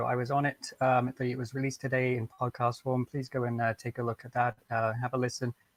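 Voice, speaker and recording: Recorded with a dry, close sound and no echo, a man speaks at medium pitch with a British accent. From England. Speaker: sim racing driver. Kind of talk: post-race interview.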